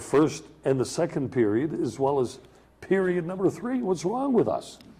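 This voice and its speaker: With an American accent, a man with a dark, mellow tone and vocal fry speaks at a moderate pace through very wide pitch swings. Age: 70s. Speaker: sports talk show host. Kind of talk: casual chat.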